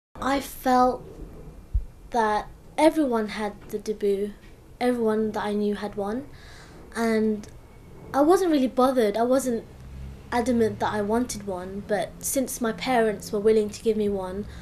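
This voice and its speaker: A woman talks in a London accent at a fairly slow pace, with long, frequent pauses. Her fairly high voice has ordinary pitch variation. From England, London (from the Philippines as a young child). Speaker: student. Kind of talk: interview testimony. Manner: casual.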